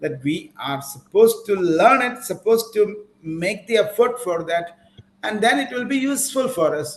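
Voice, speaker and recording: A man with a Keralan accent and a high voice speaks at a moderate pace, his pitch swinging very widely. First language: Malayalam. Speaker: English teacher. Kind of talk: online class lecture.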